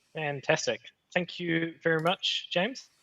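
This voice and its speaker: In a New Zealand accent, a man speaks with a dry, close sound with no echo against a quiet background. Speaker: cybersecurity consultant. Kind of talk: technical presentation. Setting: online meetup livestream.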